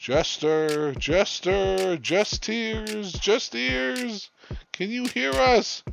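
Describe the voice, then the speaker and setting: Putting on a character voice, a man speaks at a very slow pace, his high pitch making very wide swings. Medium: read story.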